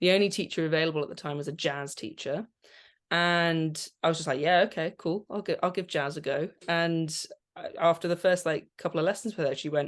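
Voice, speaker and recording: Speaking with a Channel Islands accent, a woman talks at a fairly quick pace in a fairly low pitch. Her intonation stays fairly even, and the background is quiet. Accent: British English (Channel Islands). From Guernsey. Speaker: composer and vocal coach. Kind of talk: interview.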